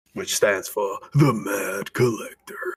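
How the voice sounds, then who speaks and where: In a put-on character voice, a man speaks fairly slowly in a dramatic, theatrical tone. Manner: dramatic, epic, theatrical.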